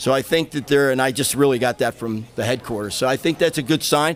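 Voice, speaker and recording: Speaking in a Philadelphia accent, a man talks at a very fast pace in a medium pitch. Noticeable background noise is present. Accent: Philadelphia-area American. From US, Pennsylvania, Montgomery County. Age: 60s. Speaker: local Republican party official. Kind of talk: live interview.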